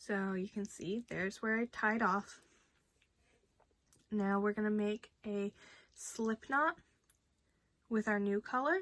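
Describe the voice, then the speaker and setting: Very slowly, a woman speaks in a fairly high voice with ordinary pitch variation, sounding dry and close with no echo. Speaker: crochet tutorial creator. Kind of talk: tutorial. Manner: casual with frequent fillers.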